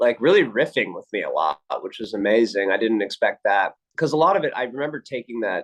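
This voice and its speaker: A man uses a normal speaking voice, pitched in the medium range and moving at a moderate pace. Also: dry, close sound with no echo. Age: 30s. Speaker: actor. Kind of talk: interview.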